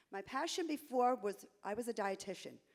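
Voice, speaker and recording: A woman speaks in a New York accent at a moderate pace. Her intonation is lively. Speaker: realtor, association candidate. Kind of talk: candidate speech at a conference.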